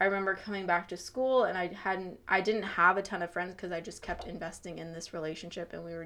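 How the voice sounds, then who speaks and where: A woman with an American accent and an unremarkable speaking voice, medium pitch, moderate pace and fairly even intonation, on a very clean recording with a silent background. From Chicago and northern Virginia (McLean). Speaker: young professional, church member. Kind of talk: testimony.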